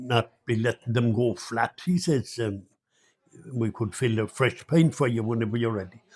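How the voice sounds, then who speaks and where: A man with a northwest Irish accent speaks in a somewhat breathy voice. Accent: Irish, north-west rural. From Ireland. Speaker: storyteller. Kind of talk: traditional folk tale telling. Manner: conversational, unhurried.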